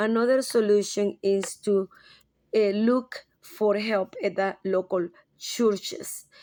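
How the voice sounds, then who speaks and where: A woman speaks very slowly in a Spanish accent, her medium-pitched voice dark and mellow in tone with fairly even intonation. Her loudness stays very even in a very clean recording with a silent background. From Latin America. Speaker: graduate student. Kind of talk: class presentation. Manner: halting.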